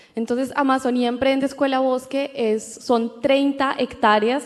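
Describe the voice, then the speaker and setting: Noticeable background noise fills this recording. A woman speaks over it at a fairly slow pace. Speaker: entrepreneur, co-founder. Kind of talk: panel discussion. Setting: stage with audience.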